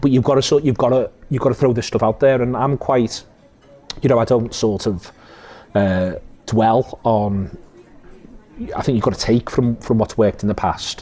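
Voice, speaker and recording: A man with a Liverpool accent, medium pitch and very even loudness, with long, frequent pauses and noticeable background noise. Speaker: podcast host and football pundit. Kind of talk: casual interview chat. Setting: cafe. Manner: fast; animated.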